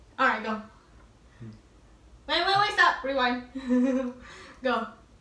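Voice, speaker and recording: A raised, projected voice talks at a very slow pace with lively intonation. Background noise is noticeable. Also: woman, high pitch for a woman. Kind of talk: casual talk to camera.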